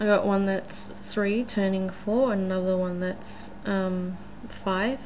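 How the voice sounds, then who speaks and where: With audible room echo, a woman with an Australian accent speaks very slowly at a medium pitch, her intonation monotone and flat. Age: 20s. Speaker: vlogger. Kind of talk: casual vlog monologue. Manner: hesitant, many fillers.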